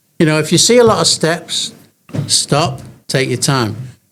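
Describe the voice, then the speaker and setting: A man is speaking. He has an English accent. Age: 80s+. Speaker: elderly gym-goer. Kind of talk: interview. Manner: halting.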